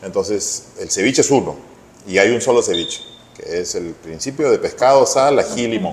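Noticeable background noise sits behind a man with a Peruvian accent. He talks at a moderate pace. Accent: Peruvian Spanish (Lima). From Peru, Lima. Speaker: chef. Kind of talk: interview.

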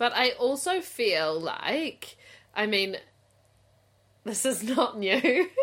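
A woman with a New Zealand accent and high pitch speaks at a very slow pace with long, frequent pauses. Her pitch swings very widely while her loudness stays very even. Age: 30s. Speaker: podcast co-host. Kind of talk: casual chat.

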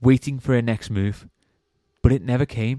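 A man with an English accent talks at a moderate pace, his medium pitch carrying a dark, mellow tone and fairly even intonation. The sound is dry and close, with no echo. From England. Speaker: podcast host. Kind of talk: horror story narration, read aloud in a hushed, suspenseful storytelling voice. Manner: casual, joking banter in between stories.

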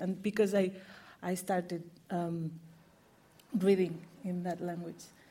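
A woman speaks at a fairly slow pace in a fairly low pitch, with a dark, mellow tone, a somewhat breathy quality and monotone, flat intonation. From Morocco, raised in Catalonia from age eight. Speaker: novelist. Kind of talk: panel discussion. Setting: bookshop event with audience.

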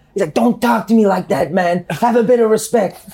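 Speaking very fast, a man talks in a Scottish accent. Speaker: football podcast host. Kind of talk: casual chat.

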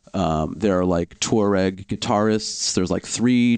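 A man with a plain, everyday voice, fairly low in pitch. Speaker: music podcast host. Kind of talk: interview.

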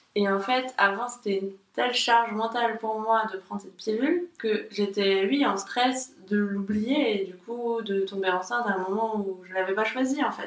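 A woman's fairly high voice with ordinary pitch variation, big swings in loudness, hardly any pauses and a moderate pace, over noticeable background noise. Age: 30s. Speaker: graphic designer. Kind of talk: casual chat. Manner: halting.

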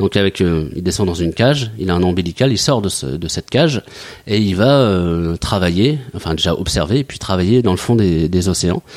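This man has a very deep, low pitch. His intonation is lively. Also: moderate pace. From Mayenne, western France. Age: 40s. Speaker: company director, former merchant navy officer. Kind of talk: interview. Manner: halting, many hesitations.

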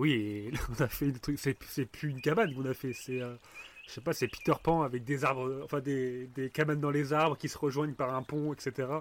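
A man with a fairly high voice talks at a moderate pace, keeping his intonation fairly even. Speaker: podcast host. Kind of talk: casual chat. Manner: storytelling voice.

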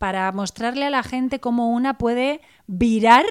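A woman has an ordinary speaking voice at a fairly high pitch with lively intonation. The recording is very clean with a silent background. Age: 40s. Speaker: blogger, author and coach. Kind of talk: interview.

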